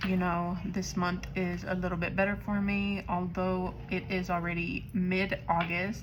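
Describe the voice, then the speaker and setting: Over music in the background and audible room echo, a woman of medium pitch speaks fairly slowly in a monotone, flat intonation at very even loudness. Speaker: budgeting vlogger. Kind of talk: casual vlog chat. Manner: casual, chatty.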